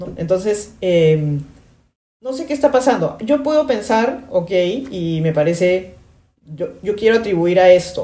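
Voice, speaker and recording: Woman's medium-pitched voice at a fairly slow pace, with very wide pitch swings and big swings in loudness. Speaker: podcast host, branding consultant. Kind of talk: casual commentary monologue. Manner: animated.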